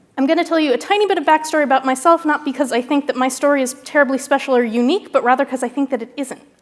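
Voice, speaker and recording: A high-pitched woman's voice with hardly any pauses, amid noticeable background noise. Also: ordinary pitch variation. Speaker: scientist giving keynote. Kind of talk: lecture. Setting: stage with audience. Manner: fast.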